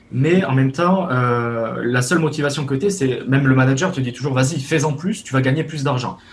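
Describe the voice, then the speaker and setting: A somewhat breathy male voice at medium pitch, fairly quick in pace, with ordinary pitch variation. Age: 20s. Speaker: web developer. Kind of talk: casual interview.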